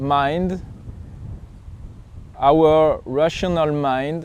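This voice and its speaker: Very slowly, a man with a French accent speaks at a fairly high pitch. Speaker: pilgrim vlogger and coach. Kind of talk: reflective vlog monologue. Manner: halting, searching for words.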